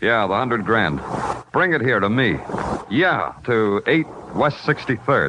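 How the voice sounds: A man's put-on character voice, slow, bright and sharp, fairly low-pitched, with big pitch swings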